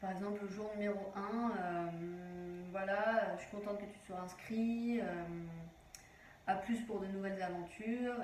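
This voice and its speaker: With noticeable background noise and audible room echo, a woman speaks fairly slowly at a medium pitch and with fairly even intonation. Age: 20s. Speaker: online business vlogger. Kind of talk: tutorial. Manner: hesitant, many fillers.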